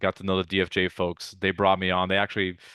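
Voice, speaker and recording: In a Russian accent, a man with a very deep, low pitch speaks at a very fast pace. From Ukraine (Odessa), emigrated to US 1989. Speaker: venture capitalist. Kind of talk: interview.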